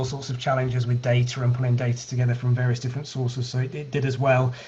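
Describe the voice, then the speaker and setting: A man talks with a British accent at a medium pitch. Noticeable background noise runs underneath. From UK. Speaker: healthcare data analytics company founder. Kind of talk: online meetup presentation.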